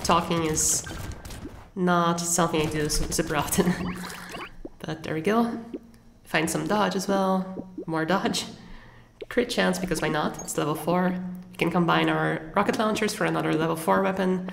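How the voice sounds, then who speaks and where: A woman talks at a fairly low pitch and moderate pace with fairly even intonation and long, frequent pauses. Audible room echo and noticeable background noise run through the recording. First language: not English. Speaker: gaming content creator. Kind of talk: gameplay commentary. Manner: casual, occasional self-corrections.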